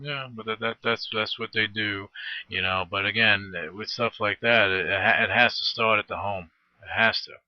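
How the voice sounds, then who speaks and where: Fairly low-pitched male speech in a normal speaking voice, with an American accent, fairly even intonation, big swings in loudness and a moderate pace. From Brooklyn, New York and New Jersey. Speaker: radio host. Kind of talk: interview.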